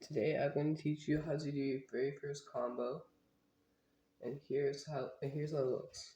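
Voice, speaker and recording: A somewhat breathy man talks at a moderate pace in a fairly high pitch. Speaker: balisong flipping tutorial creator. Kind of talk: tutorial. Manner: halting.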